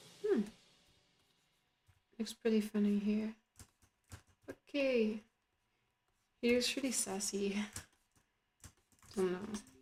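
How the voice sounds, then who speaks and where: Her voice is somewhat breathy and fairly high in pitch, with fairly even intonation. This woman speaks at a very slow pace, leaving long, frequent pauses. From France. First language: French. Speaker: artist streamer. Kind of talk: casual live stream chat while drawing. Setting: live stream. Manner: halting.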